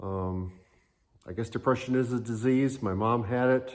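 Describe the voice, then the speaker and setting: A man with an American accent speaks at a fairly slow pace and a medium pitch, with fairly even intonation. The recording is very clean, with a silent background. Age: 60s. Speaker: retired hobby vlogger. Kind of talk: casual vlog talk. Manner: halting, many fillers.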